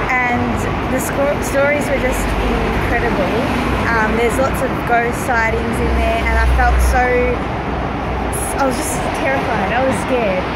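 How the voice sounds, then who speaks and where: Over loud background noise, a woman speaks at a fairly slow pace with long, frequent pauses, the sound dry with no echo. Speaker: travel vlogger. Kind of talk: casual vlog chat. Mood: excited, a little spooked. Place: street. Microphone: phone near.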